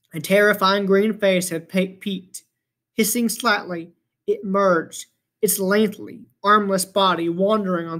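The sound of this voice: The clip has an unforced reading voice with fairly even intonation over a quiet background.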